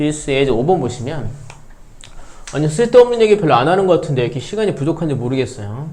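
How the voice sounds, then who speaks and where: Very fast and with long, frequent pauses, a man speaks at a fairly high pitch with very wide pitch swings. There is audible room echo and noticeable background noise. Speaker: math teacher. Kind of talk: lecture.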